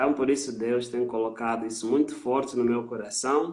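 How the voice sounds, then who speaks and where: This is a man speaking. His pitch is medium. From Mozambique. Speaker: missionary. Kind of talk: interview testimony on a live stream. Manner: hesitant with frequent fillers.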